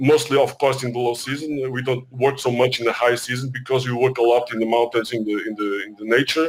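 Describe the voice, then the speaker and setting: Amid noticeable background noise, a man with a medium-pitched voice talks at a moderate pace with fairly even intonation. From Portugal, Algarve. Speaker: tour operator. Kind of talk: panel discussion. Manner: halting.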